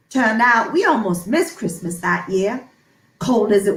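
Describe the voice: This is plain reading aloud, carrying ordinary pitch variation.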